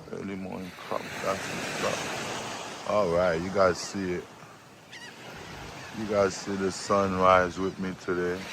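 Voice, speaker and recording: Over noticeable background noise and audible room echo, a man with a very deep, low voice talks very slowly in a monotone, flat delivery with long, frequent pauses. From Haiti. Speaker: farmer and travel vlogger. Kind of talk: casual vlog narration. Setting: outdoors on a beach at sunrise.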